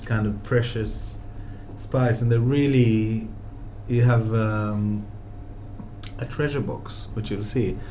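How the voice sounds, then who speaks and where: A man talks very slowly, pausing long and often, while noticeable noise sounds behind him. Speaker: restaurateur and podcast host. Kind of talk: interview chat about food. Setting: deli, recorded talk.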